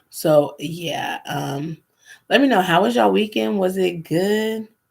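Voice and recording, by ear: Speaking at a slow pace, a woman has a medium pitch, a slightly mellow tone with a slightly husky edge, vocal fry and ordinary pitch variation.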